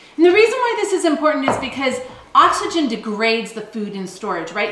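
Moderate-paced speech from a woman, light background noise and audible room echo around it. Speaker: homesteading channel co-host. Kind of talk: tutorial. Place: kitchen.

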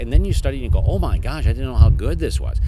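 A man speaks at a very fast pace in a very deep, low pitch. Loud background noise runs behind him. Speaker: magician. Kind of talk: interview. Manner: rambling and jokey. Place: street.

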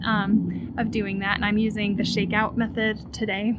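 A woman talks at a moderate pace. Noticeable background noise runs beneath her. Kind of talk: casual vlog chat. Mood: relaxed, friendly. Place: garden. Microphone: phone near.

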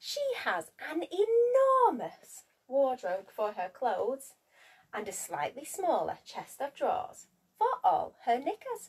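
The voice has a husky, rough edge, a slow pace and very wide pitch swings. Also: woman, high pitch for a woman.

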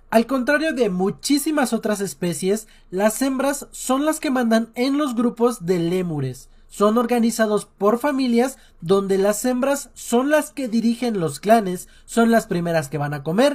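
A man's lively intonation at a fairly slow pace against a quiet background. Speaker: animal facts creator. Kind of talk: educational commentary. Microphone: phone near.

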